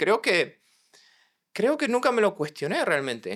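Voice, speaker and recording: Speech comes at a fairly slow pace with a slight Argentine accent. The pitch swings are very wide. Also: man. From Argentina, San Luis province. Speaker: mental health counseling student. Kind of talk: interview conversation.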